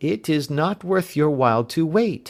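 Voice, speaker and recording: A man's put-on character voice, fairly high in pitch, with lively intonation. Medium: read story. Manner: fearful.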